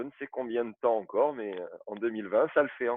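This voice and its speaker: A man with an unremarkable speaking voice at medium pitch and a moderate pace. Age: 40s. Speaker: football referee. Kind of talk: interview.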